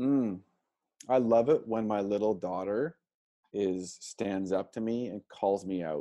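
A man at a fairly slow pace, fairly low pitch and ordinary pitch variation, against a quiet background. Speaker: parenting coach. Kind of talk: casual chat. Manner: calm, smooth.

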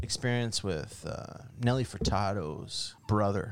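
A man talks in an ordinary speaking voice at a medium pitch with ordinary pitch variation. His pace is fairly slow. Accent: Canadian. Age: 40s. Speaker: bar owner. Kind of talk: casual chat.

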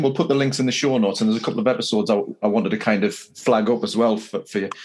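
A man races through his words at a very fast pace amid noticeable background noise. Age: 50s. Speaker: podcast host. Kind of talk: interview.

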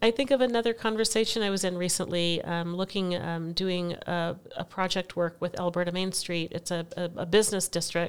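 A woman speaks with an ordinary speaking voice at a fairly low pitch, fairly quick and with hardly any pauses, her intonation fairly even. The recording is very clean, with a silent background. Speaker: education advocate, school board member. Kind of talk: conversational interview. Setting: in person at guest's home.

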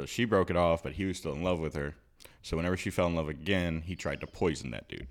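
This man speaks at a very fast pace in an American accent, with ordinary pitch variation. His pitch is very deep and low, with vocal fry. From US South, South Louisiana. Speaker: podcast co-host. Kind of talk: casual chat. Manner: soft-spoken.

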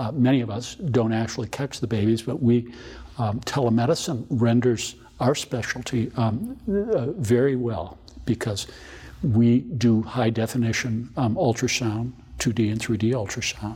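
A man with a medium pitch and a dark, mellow tone speaks at a fairly slow pace. His voice is somewhat breathy, and his pitch varies in an ordinary way. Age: 60s. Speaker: obstetrician and maternal fetal medicine specialist. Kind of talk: interview.

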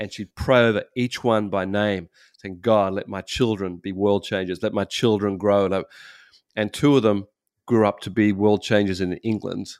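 An unremarkable speaking voice moves at a moderate pace with fairly even intonation, its dry, close sound free of echo in a very clean recording with a silent background. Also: man, fairly low pitch for a man. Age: 60s. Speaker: pastor. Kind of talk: casual chat.

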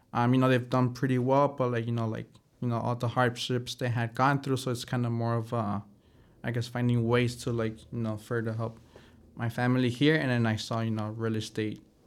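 With a Spanish accent, a man talks at a fairly quick pace in a monotone, flat delivery at medium pitch, recorded very cleanly over a silent background. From Chicago and Mexico. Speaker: real estate broker. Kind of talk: casual interview.

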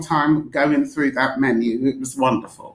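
This woman speaks with a London accent. Noticeable background noise runs underneath. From London (East London, Forest Gate). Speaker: magazine editor and drinks writer. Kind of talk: interview.

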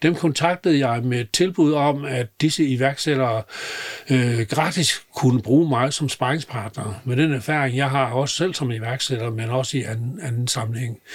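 A man's somewhat breathy, medium-pitched voice with ordinary pitch variation at a fairly slow pace. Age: 80s+. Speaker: retired business mentor. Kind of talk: interview. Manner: halting.

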